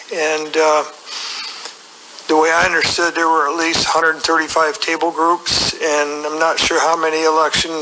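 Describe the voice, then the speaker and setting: With an American accent, the speaker keeps a moderate pace as noticeable background noise carries on. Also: man. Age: 60s. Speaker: election observer. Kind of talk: testimony.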